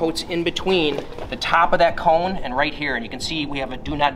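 A man's words come very fast. Behind him, background noise is noticeable. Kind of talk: product explanation. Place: gym.

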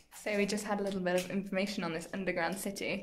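Light background noise runs under a woman's speech. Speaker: travel vlogger. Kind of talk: casual vlog chat. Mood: cheerful, relaxed. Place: cafe. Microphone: phone near.

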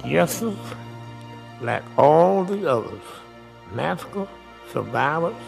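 A man's fairly high voice at a very slow pace, with very wide pitch swings, long, frequent pauses, and faint music in the background. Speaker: massacre survivor. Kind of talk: congressional testimony. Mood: solemn, pleading. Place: hall. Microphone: podium.

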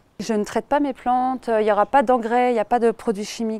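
A woman's fairly high pitch with ordinary pitch variation, in a dry sound with no echo. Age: 30s. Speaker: aspiring horticulturist. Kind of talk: crowdfunding presentation video. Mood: calm, warm, passionate. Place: garden. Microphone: lapel.

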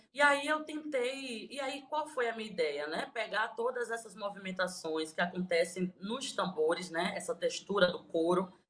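A woman speaks at a medium pitch and a moderate pace, with hardly any pauses. Her pitch swings very widely. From Bahia, Recôncavo region; Bahia, Brazil. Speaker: singer-songwriter. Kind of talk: interview. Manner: halting. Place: home room. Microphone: phone near.

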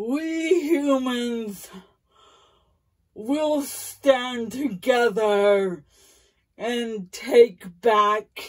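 A put-on character voice from a woman, high-pitched and lively in intonation, very slow, with long, frequent pauses. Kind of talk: improvised character story. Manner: pleading, then defiant.

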